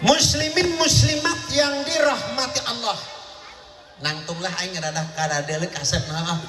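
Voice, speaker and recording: A man speaks in a raised, projected voice at a fairly slow pace, his high pitch swinging very widely, with audible room echo and noticeable background noise. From Banten, born in Baros. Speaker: Islamic preacher (kyai). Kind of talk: humorous sermon. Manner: blunt, coarse-sounding speech.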